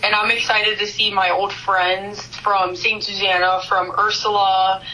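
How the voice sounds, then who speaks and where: A woman's medium-pitched voice with an American accent, fairly slow and monotone, flat in intonation, at very even loudness, amid audible room echo and noticeable background noise. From Cincinnati, Ohio. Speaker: owners' daughter. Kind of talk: podcast interview.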